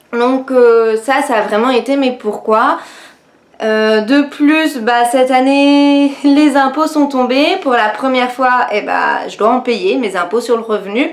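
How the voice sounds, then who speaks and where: Over noticeable background noise, a woman with a high voice speaks at a very slow pace with ordinary pitch variation. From France, Nancy (Lorraine). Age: 20s. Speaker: beauty youtuber and network marketing seller. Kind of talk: personal testimony vlog. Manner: hesitant, many fillers (euh, bah).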